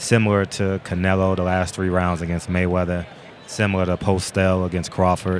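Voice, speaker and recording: Over noticeable background noise, a man with very deep, low pitch speaks at a moderate pace in a monotone, flat intonation. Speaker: boxing commentary co-host. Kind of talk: live fight commentary. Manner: loud; halting, repeats words.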